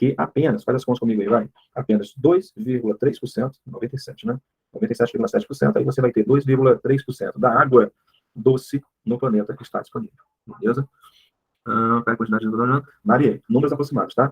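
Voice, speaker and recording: At a very fast pace, a man with a medium pitch and a somewhat breathy voice speaks with lively intonation. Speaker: biology teacher. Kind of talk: online class lecture. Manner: casual, animated.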